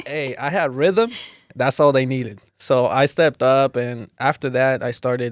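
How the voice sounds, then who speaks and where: A man speaks with a Spanish accent at a moderate pace and medium pitch. His pitch varies an ordinary amount, and the sound is dry and close with no echo. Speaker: dancer and youth mentor. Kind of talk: casual podcast chat.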